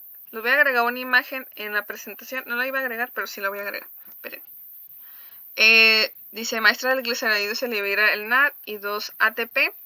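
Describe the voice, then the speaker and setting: This woman's voice is fairly high, with a bright, sharp tone and fairly even intonation. Her loudness swings a lot, and the sound is dry and close with no echo. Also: fairly quick pace. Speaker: teacher. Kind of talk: online class lecture.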